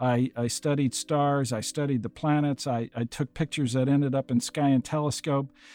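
Recorded very cleanly over a silent background, with a dry, close sound and no echo, a man with a Midwestern American accent speaks at a fairly high pitch in a dark, mellow tone. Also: fairly even intonation, moderate pace, hardly any pauses. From US Midwest, Iowa. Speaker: planetary scientist and podcast host. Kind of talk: interview, telling his story. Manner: halting, many fillers.

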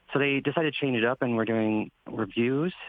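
Here a man talks at a fairly quick pace in an unremarkable speaking voice. His pitch is medium, with ordinary variation. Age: 30s. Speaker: NASA intern. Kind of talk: casual interview. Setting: video call.

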